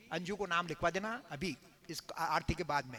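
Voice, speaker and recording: A man speaks in a raised, projected voice with a bright, sharp tone and lively intonation. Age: 70s. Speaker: religious storyteller (katha narrator). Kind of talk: religious discourse to live audience.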